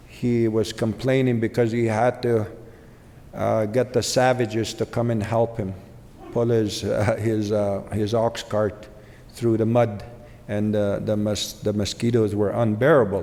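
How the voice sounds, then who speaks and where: A man speaks at a fairly slow pace in a medium pitch, his flat, monotone delivery carrying audible room echo. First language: Ojibwe. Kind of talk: keynote speech. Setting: conference stage with audience. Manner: pausing.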